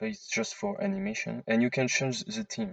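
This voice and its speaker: A man with a non-native accent speaks in a fairly high voice with very wide pitch swings. The sound is dry and close, with no echo. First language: non-native English speaker. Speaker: 3D modding tutorial maker. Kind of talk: software tutorial screen-recording narration. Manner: casual, hesitant with fillers.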